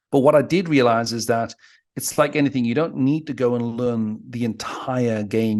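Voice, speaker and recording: Over a quiet background, a man in a Geordie accent talks at a fairly quick pace with ordinary pitch variation. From northeast England (Newcastle area). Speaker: dating coach. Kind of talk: casual chat. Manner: fast.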